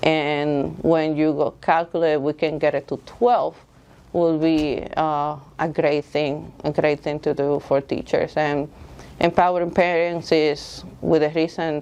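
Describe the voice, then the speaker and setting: Speaking with a Dominican accent, a woman uses a very deep, low pitch and monotone, flat intonation at a fairly slow pace. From Dominican Republic. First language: Spanish. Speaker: school board candidate. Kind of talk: candidate interview. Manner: halting, with fillers.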